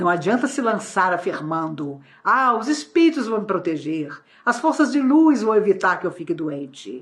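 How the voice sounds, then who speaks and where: Very wide pitch swings mark this speech, which keeps a moderate pace. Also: woman, medium pitch for a woman. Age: 60s. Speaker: spiritist lecturer. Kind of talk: lecture. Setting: online talk.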